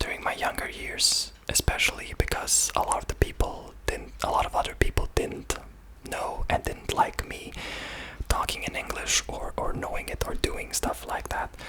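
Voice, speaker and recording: A man whispering with a Serbian accent at a moderate pace, amid noticeable background noise. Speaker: ASMR creator. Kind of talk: ASMR talk about languages. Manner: soft-spoken; halting, many fillers.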